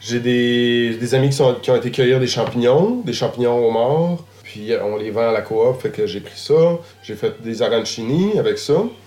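The speech moves at a fairly slow pace with hardly any pauses and ordinary pitch variation, against noticeable background noise. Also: man, medium pitch for a man. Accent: Quebec. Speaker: chef. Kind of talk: casual conversation. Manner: halting.

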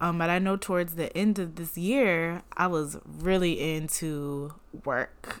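A woman with an unremarkable speaking voice, fairly low pitch, fairly even intonation and fairly slow pace, on a very clean recording with a silent background. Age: 20s. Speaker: podcast host. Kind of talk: casual solo monologue. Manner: casual, filler-heavy.

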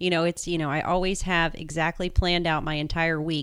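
This woman's voice is fairly low in pitch. She talks at a very fast pace. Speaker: legal and tax professional. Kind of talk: interview.

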